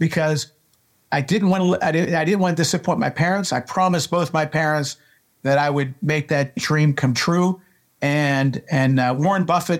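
A fairly high-pitched male voice at a fairly quick pace, with ordinary pitch variation, on a very clean recording with a silent background. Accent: Pittsburgh. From Pittsburgh, Pennsylvania. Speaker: baseball coach and scout. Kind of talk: interview. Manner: animated, emotional.

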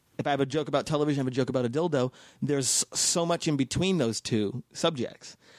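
A man with an American accent and a fairly high pitch talks at a very fast pace with very even loudness. The recording is very clean and dry, with a close sound, no echo and a silent background. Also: ordinary pitch variation. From North Las Vegas, Nevada, US. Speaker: stand-up comedian. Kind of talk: casual chat.

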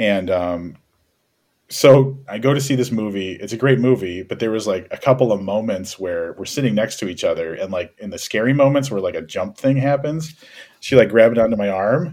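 A man with an unremarkable speaking voice talks at a fairly quick pace, his medium pitch carried by lively intonation. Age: 40s. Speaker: podcast host. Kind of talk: casual chat.

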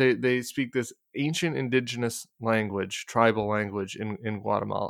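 In a plain, everyday voice, a man speaks with an American accent at a medium pitch and a moderate pace. The recording is very clean, with a silent background. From US, Denver. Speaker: political commentator. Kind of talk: casual chat.

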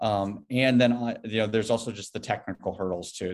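Fairly quick, fairly even speech from a man with an American accent, against a quiet background. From US Midwest, rural Iowa. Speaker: tech startup CEO. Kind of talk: interview. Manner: halting, many fillers.

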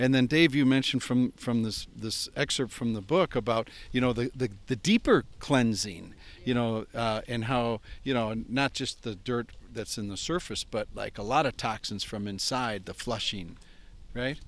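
The man has an ordinary speaking voice at medium pitch, moving at a moderate pace with ordinary pitch variation on a very clean recording with a silent background. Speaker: podcast host. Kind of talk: casual interview. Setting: outdoors by a lake sauna.

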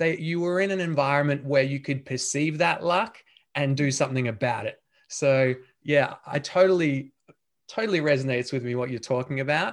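Against a quiet background, the talking goes fairly quickly, with ordinary pitch variation. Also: man, fairly high pitch for a man. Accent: Australian. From Australia. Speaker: podcast host. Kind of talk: interview conversation.

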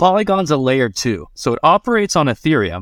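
With lively intonation and a plain, everyday voice, a man with an American accent is captured in a very clean recording with a silent background and a dry, close sound with no echo. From Florida, US. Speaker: cannabis and crypto professional. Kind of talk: casual interview chat.

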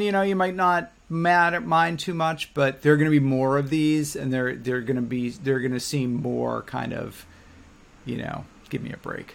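In a very clean recording with a silent background, a man with an unremarkable speaking voice speaks at a moderate pace, fairly high in pitch, with ordinary pitch variation. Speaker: podcast co-host. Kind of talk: casual interview conversation.

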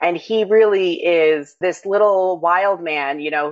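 This woman has a plain, everyday voice with an American accent, a fairly low pitch and fairly even intonation. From New York City. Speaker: herbalist and author. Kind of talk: interview conversation.

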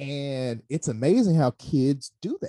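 With a Mississippi accent, a man speaks in a dark, mellow tone, the sound dry and close with no echo. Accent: US Southern, Mississippi. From Mississippi Delta, Hollandale. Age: 30s. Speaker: high school teacher. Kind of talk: casual interview.

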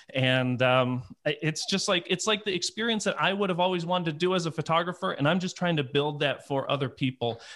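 With hardly any pauses, a man speaks at a fairly quick pace in a high pitch with ordinary pitch variation. The recording is very clean, with a silent background. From US Midwest (Detroit area). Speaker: photographer and photography conference organizer. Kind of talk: casual interview.

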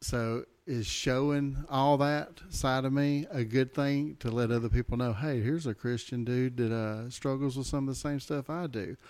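An unremarkable speaking voice from a man, medium in pitch, with fairly even intonation and hardly any pauses. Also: moderate pace. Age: 40s. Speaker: guest podcast host. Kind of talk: casual chat.

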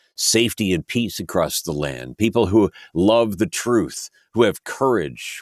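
In a very clean recording with a silent background and a dry, close sound free of echo, a man with an American accent speaks with vocal fry and ordinary pitch variation. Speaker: prayer podcast host. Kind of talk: fervent prayer, earnest and reverent. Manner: earnest, humble, pleading.

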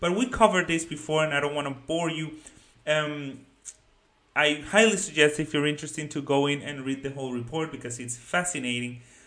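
A man with a Spanish accent talks at a fairly quick pace in a fairly high, bright, sharp voice with ordinary pitch variation. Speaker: finance YouTuber. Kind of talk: video commentary on a research report. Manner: casual, hesitant with many fillers.

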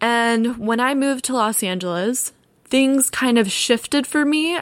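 Using an American accent, a woman speaks with a high pitch and lively intonation. The sound is dry and close, with no echo. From US South, Florida (Orlando suburbs). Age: 20s. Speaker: podcast host. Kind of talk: solo monologue.

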